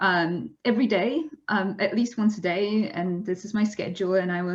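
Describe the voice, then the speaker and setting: This somewhat breathy voice carries a Polish accent, moving at a moderate pace with ordinary pitch variation over a quiet background. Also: woman. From Poland. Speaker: zoologist and science communicator. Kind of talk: webinar presentation. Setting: online webinar. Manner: frequent fillers and restarts.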